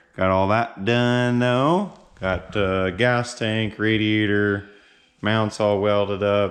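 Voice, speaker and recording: A man speaks with a fairly low pitch and monotone, flat intonation. Noticeable background noise sits behind him. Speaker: car builder vlogger. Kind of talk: casual vlog narration. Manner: casual, many filler words.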